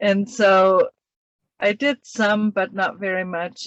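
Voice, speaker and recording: Fairly even intonation and a medium pitch shape this woman's delivery, an ordinary speaking voice. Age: 60s. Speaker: mature university student. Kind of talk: interview.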